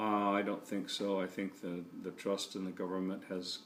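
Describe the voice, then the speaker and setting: With an American accent, a man speaks in monotone, flat intonation at a very deep, low pitch. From California. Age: 60s. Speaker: grandparent interviewee. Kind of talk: family history interview. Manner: hesitant, many fillers.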